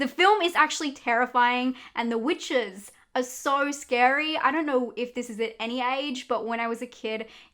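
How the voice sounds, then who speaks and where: Her voice is high-pitched with a bright, sharp tone as this woman speaks in an Australian accent. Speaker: horror YouTuber. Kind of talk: movie recommendations.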